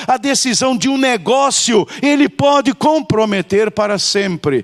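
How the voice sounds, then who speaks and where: A man talks fairly slowly with ordinary pitch variation, noticeable background noise behind him. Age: 60s. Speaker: pastor. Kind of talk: sermon.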